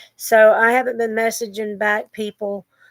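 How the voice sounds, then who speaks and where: Against a dry, close sound with no echo, a woman talks at a fairly slow pace. She has a Southern US accent and a fairly high pitch. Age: 60s. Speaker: vlogger. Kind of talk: casual chat. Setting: at home, bedroom desk. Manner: rambling, informal.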